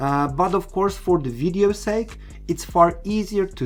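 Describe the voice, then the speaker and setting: A man with a non-native accent speaks at a moderate pace. His intonation is lively, with music in the background. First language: not English. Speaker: RC car product presenter. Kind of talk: tutorial. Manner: hesitant, many fillers.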